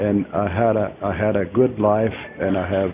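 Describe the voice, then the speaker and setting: A man with an American accent speaks very slowly in a fairly low, monotone, flat voice over noticeable background noise. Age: 80s+. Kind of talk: interview answers. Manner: halting, many hesitations.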